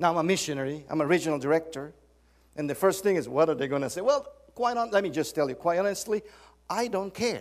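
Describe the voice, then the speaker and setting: Someone with a Spanish accent talks at a very fast pace with lively intonation. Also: man, high pitch for a man. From Guatemala. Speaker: church leader, visiting preacher. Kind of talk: sermon. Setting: church.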